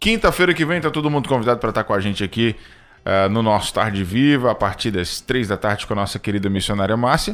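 Talking at a very fast pace with lively intonation, a man with a medium-pitched voice comes through on a very clean recording against a silent background. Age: 30s. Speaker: radio host. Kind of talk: live radio hosting.

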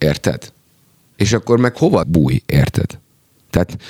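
A man talks at a moderate pace in a very clean recording where the background is silent. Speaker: rapper and songwriter. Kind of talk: casual chat.

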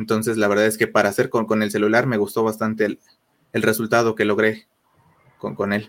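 Flat, monotone intonation marks this man's fairly low-pitched delivery. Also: fairly quick pace. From Mexico City. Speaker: photographer. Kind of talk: interview. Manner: halting.

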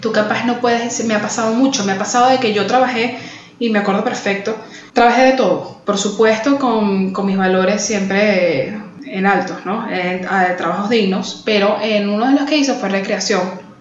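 Over noticeable background noise and audible room echo, a woman speaks at a moderate pace with fairly even intonation in a fairly high pitch. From Venezuela, Caracas. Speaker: podcast co-host. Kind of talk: casual chat.

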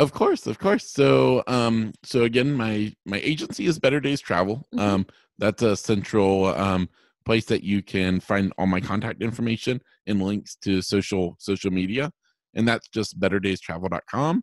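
Against a silent background in a very clean recording, a plain, everyday voice speaks at a moderate pace with a dry, close sound and no echo. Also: man, fairly low pitch for a man. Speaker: travel agent, blind traveler. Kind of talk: interview, casual conversation.

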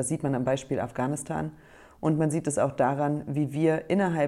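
On a very clean recording with a silent background, a woman speaks in a very deep, low pitch with a dark, mellow tone. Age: 30s. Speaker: politician. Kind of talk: prepared statement. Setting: self-recorded audio file.

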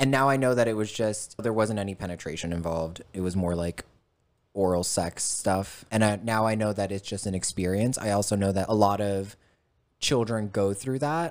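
The recording is very clean, with a silent background. A man speaks in a normal speaking voice at a moderate pace, fairly low-pitched with ordinary pitch variation. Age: 30s. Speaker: podcast guest sharing life story. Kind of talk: casual chat.

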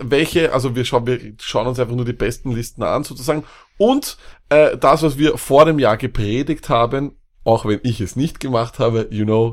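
On a very clean recording with a silent background, a man with an unremarkable speaking voice talks at a moderate pace in a medium pitch with ordinary pitch variation. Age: 30s. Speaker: fantasy football podcast co-host. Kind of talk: casual chat.

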